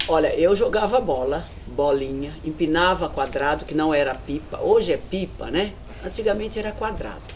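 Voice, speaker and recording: A woman talks at a moderate pace amid audible room echo and noticeable background noise. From Brazil, São Paulo (Brasilândia). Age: 60s. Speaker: local resident interviewee. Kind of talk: documentary interview, reminiscing.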